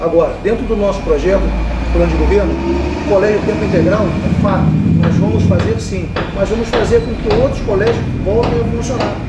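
The speech moves at a fairly quick pace. Loud background noise fills the recording. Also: man. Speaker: election candidate. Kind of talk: interview answer. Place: office.

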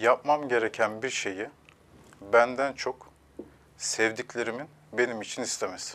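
A man speaks at a fairly slow pace with fairly even intonation, leaving long, frequent pauses over light background noise. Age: 30s. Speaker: relationship counselor; guest. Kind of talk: TV interview; interview answer. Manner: hesitant with filler sounds. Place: studio. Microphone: lapel.

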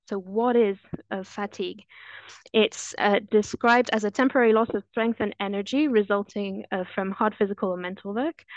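A woman with a French accent speaks at a fairly quick pace in a medium pitch, her intonation fairly even, against a quiet background with a dry sound and no echo. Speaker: anesthesiologist; presenter. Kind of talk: webinar presentation. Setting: video call.

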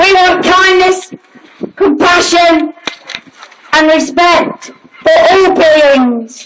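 A woman speaks very slowly in an extremely high voice, with noticeable background noise behind her. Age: 50s. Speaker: animal rights protester. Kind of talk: protest speech. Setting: outdoor rally with crowd. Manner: animated; loud.

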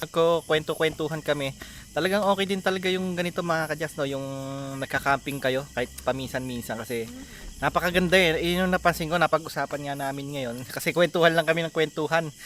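Amid noticeable background noise, a man speaks very fast with ordinary pitch variation. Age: 40s. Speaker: travel vlogger. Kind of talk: vlog narration. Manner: animated.

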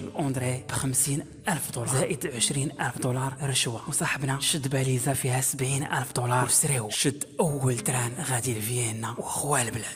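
Over noticeable background noise, a man with a Moroccan accent speaks at medium pitch with fairly even intonation. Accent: Moroccan Darija. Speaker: YouTube storyteller. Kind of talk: casual storytelling to camera.

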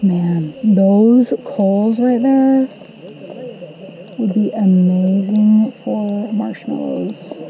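A woman speaks at a very slow pace with ordinary pitch variation, the sound dry with no echo and light background noise behind her. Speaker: travel vlogger. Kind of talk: casual vlog chat. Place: open country. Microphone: camera far.

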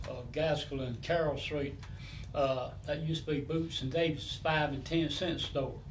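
Amid light background noise, a man with a fairly high pitch speaks in a monotone, flat way at a moderate pace. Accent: Southern US. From Atlanta, Georgia, US South; Georgia. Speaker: longtime neighborhood resident, former mill worker; interviewee. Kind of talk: oral history interview. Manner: halting. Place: home room.

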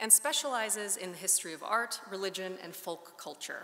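A woman speaks at a fairly quick pace in a bright, sharp tone. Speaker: speaker. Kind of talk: formal introduction speech. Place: hall. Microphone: podium.

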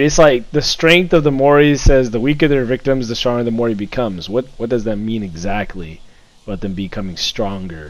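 With a normal speaking voice, a man talks at a moderate pace and with lively intonation. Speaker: gamer. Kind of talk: casual chat. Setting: voice chat while gaming online. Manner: excitable.

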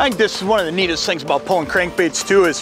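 Music plays behind a man as he speaks. The sound is dry, with no echo. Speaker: fishing show host. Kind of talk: tutorial. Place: boat. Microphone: lapel.

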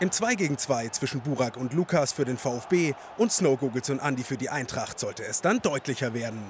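Energetic in tone, a man with a fairly high pitch and lively intonation speaks at a moderate pace. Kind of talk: sports commentary recap. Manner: brisk, energetic, narrating play-by-play in past tense.

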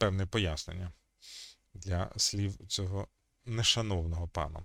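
A man's very deep, low voice at a fairly slow pace, with ordinary pitch variation and a dry, close sound with no echo. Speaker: history video chat blogger. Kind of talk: video chat debate and history explanation. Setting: video call.

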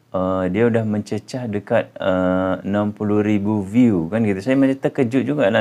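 Fairly low in pitch, this man speaks at a fairly slow pace with fairly even intonation. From Indonesia. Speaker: YouTuber. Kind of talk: casual vlog. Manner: hesitant, many fillers. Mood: warm, grateful. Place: home room. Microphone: phone near.

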